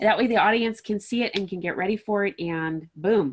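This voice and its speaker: A woman talks at a moderate pace with ordinary pitch variation. Hers is an ordinary speaking voice. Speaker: podcast host, interviewer. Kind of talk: interview host speech.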